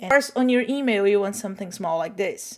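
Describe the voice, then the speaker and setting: A woman's fairly high voice with a Portuguese accent and lively intonation on a very clean recording with a silent background. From Brazil. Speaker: social media content creator. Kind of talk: tutorial. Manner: casual, chatty.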